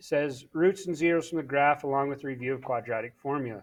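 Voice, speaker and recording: Over a quiet background, an unremarkable speaking voice moves at a fairly quick pace with ordinary pitch variation. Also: man. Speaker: math teacher. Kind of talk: tutorial.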